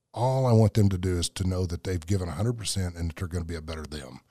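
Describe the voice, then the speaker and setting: Very fast and somewhat breathy, the dark, mellow voice has ordinary pitch variation in a very clean recording with a silent background. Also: man, dry, close sound with no echo. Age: 60s. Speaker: powerlifter and military veteran. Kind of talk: interview testimony.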